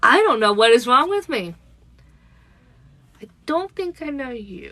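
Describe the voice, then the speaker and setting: Speaking at a fairly slow pace, a woman uses a raised, projected voice at a high pitch, with big swings in loudness and very wide pitch swings. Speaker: spiritual channeler livestreamer. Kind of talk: live stream chat with channeled messages. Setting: live stream on social media app. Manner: casual, tripping over words.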